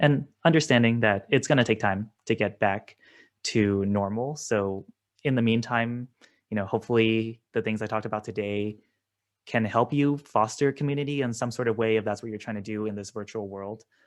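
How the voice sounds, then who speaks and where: A man's medium-pitched voice, with fairly even intonation, is heard against a quiet background. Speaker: student presenter. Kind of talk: presentation. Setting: video call. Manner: fast; casual, filler-heavy.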